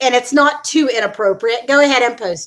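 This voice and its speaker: A loud woman with a high pitch, a bright, sharp tone, and a moderate pace. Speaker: vlogger, weight loss channel. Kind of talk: casual livestream chat. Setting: home livestream.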